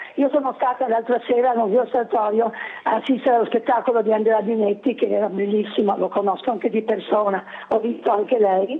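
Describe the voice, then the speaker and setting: A woman talks at a very fast pace with fairly high pitch and fairly even intonation. Her loudness stays very even over noticeable background noise. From Trieste, Italy. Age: 70s. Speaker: caller. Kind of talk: phone-in comment. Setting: phone call.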